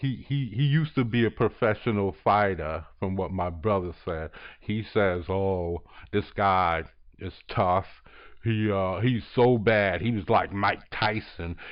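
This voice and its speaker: Fairly low in pitch, a man talks in an animated tone at a fairly slow pace with ordinary pitch variation. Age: 50s. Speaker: YouTuber, artist. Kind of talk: casual monologue. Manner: halting.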